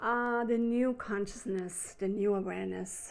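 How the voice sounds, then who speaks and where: Speaking at a fairly slow pace, a woman has a German accent and a fairly high pitch. Her intonation is monotone and flat. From Switzerland. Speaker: spiritual healer. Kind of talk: spiritual talk to camera. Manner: unscripted, slightly halting.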